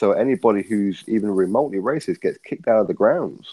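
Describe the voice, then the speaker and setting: Talking at a fairly quick pace, a man speaks in an English accent. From England. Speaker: boxing commentator guest. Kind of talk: casual chat.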